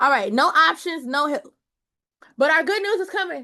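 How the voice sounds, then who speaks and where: A raised, projected voice in an animated, bright, sharp tone, with very wide pitch swings over a quiet background. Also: woman. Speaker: Bible study teacher. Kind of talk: Bible study teaching.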